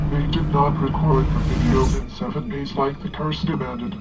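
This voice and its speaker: Loud music plays in the background as a put-on character voice speaks at a moderate pace. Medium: comedy sketch. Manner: precise, matter-of-fact.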